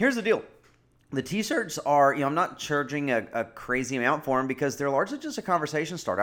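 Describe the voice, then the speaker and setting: The recording is very clean, with a silent background. A man talks at a very fast pace with lively intonation. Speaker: podcast host and former college baseball coach. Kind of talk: solo podcast monologue. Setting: recorded at kitchen table. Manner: fast talker, animated when preaching.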